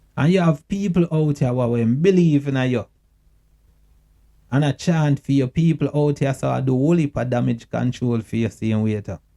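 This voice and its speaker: A man with a Jamaican accent speaks at a moderate pace and a fairly high pitch, with ordinary pitch variation, a dark, mellow tone, and a dry, close sound with no echo. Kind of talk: casual talk to camera. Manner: earnest, emotional.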